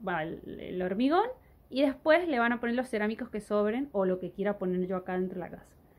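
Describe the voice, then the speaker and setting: A woman is speaking. Her intonation is lively. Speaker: vlogger living in the countryside. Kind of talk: casual vlog chat. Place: home room. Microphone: phone near.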